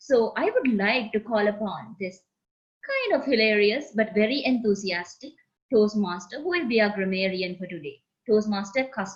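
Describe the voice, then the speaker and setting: A woman with a Sri Lankan accent talks at a moderate pace in a somewhat breathy, fairly high pitch with lively intonation. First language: Sinhala. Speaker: meeting host, Toastmaster. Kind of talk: club meeting introductions.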